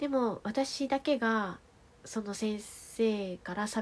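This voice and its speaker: A woman's somewhat breathy, medium-pitched voice with a calm, relaxed tone and ordinary pitch variation. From Tohoku, Japan (Fukushima, then Aomori). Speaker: podcast storyteller. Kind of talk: bedtime monologue. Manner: soft-spoken.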